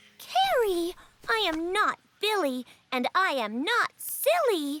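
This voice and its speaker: A cartoonish character voice, female-sounding and pitched extremely high, comes across with a gentle tone. It moves at a fairly slow pace. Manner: gentle, sweet.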